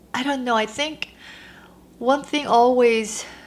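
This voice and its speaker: At a very slow pace, a woman with a fairly high pitch speaks in a Korean accent with fairly even intonation. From South Korea. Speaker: lifestyle vlogger. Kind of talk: casual Q&A vlog. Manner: halting.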